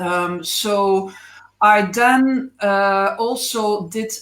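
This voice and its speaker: In a Belgian accent, a woman speaks with ordinary pitch variation. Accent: Belgian accent, non-native English. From Belgium. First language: not English (Belgian). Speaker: animal physiotherapist. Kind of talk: interview on a live stream. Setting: Facebook Live video call. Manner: hesitant, many fillers.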